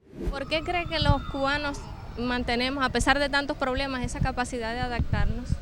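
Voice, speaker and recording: The pace is moderate. Audible room echo and noticeable background noise are present. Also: woman. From Cuba. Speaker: TV reporter. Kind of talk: TV news report narration.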